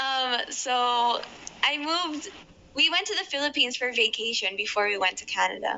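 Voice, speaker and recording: A high-pitched woman's voice with lively intonation at a moderate pace, over noticeable background noise. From Ireland. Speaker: podcast guest. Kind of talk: casual interview chat.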